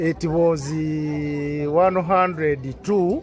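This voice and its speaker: Music plays behind a man speaking. His pitch is fairly high and his intonation fairly even. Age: 60s. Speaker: farmer. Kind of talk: interview answer.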